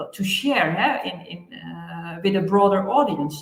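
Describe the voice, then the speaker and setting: Someone talks at a fairly slow pace, with audible echo in the room. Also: woman. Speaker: land administration expert. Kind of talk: interview. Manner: hesitant, many fillers.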